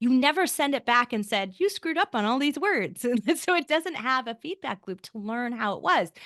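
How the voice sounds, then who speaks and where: Over a quiet background in a dry, close sound with no echo, a woman with a bright, sharp tone and high pitch talks at a fairly quick pace with very wide pitch swings and hardly any pauses. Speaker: podcast company co-founder. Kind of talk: interview. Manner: fast.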